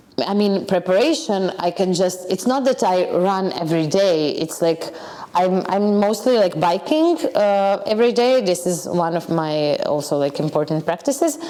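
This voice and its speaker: Over noticeable background noise, a woman at medium pitch speaks at a moderate pace with very even loudness and lively intonation. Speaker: yoga teacher and dancer. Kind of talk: casual chat. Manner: animated.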